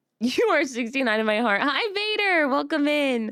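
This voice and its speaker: A woman is speaking. Her pitch is high. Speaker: vtuber streamer. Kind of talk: casual live stream chat.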